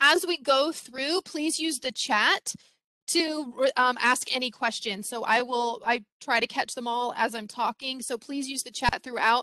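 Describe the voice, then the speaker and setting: Raised and projected, a woman's high voice comes across bright and sharp with ordinary pitch variation, the sound dry and close with no echo. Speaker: former teacher, parenting workshop presenter. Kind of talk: webinar presentation. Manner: fast.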